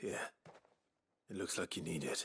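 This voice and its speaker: Raspy and calm in tone, a man performs a put-on character voice. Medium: video game. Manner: calm, reserved.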